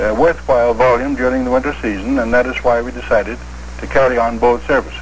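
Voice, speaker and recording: A man speaks rather quickly, and clear background noise can be heard. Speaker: railway company president giving an interview answer. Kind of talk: interview answer.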